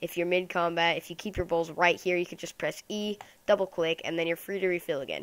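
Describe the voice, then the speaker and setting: Speaking very fast in a flat monotone, a woman with a fairly low voice is heard on a very clean recording with a silent background. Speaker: gaming YouTuber. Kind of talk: gameplay commentary. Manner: casual, thinking aloud.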